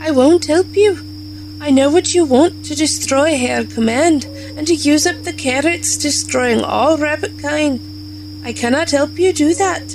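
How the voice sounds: A woman performs a put-on character voice at a fairly slow pace. Loud background noise sits behind her.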